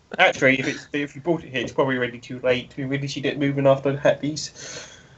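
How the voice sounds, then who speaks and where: Over noticeable background noise, a man talks at a very fast pace with a fairly high pitch and monotone, flat intonation. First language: not English. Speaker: tabletop role-playing game player. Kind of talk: casual game chat. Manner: halting.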